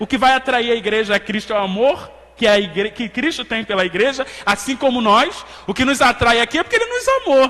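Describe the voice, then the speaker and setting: A man talks in a raised, projected voice at an extremely high pitch. Noticeable background noise is present. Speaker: Bible study teacher. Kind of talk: Sunday school lesson.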